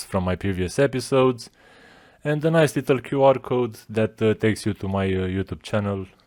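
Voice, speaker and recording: A man with a non-native accent, fairly low pitch, ordinary pitch variation and a moderate pace, in a very clean recording with a silent background. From Romania. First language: not English. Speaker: podcast host. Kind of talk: casual monologue. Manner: casual, profane.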